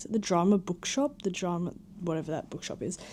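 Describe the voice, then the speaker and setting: A woman with an Australian accent speaks in a fairly low pitch, her tone dark and mellow, her intonation lively. The recording is very clean, with a silent background. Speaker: vlogger. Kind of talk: casual vlog chat. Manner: animated.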